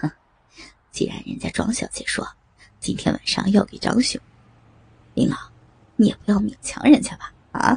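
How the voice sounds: A woman whispers in a put-on character voice with a husky, rough edge and vocal fry, moving at a moderate pace with long, frequent pauses.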